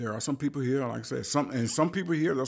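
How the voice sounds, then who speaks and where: In an American accent, a man talks at a medium pitch with ordinary pitch variation. The recording is very clean, with a silent background. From US South, rural South Carolina. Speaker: musician and composer. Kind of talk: interview. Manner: halting.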